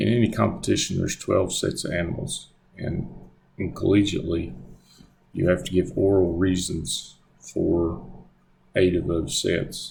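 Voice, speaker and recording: A man with a strong Southern US accent at a moderate pace, with long, frequent pauses and audible room echo. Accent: thick Southern US. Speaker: graduate student. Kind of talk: presentation. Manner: halting, many fillers.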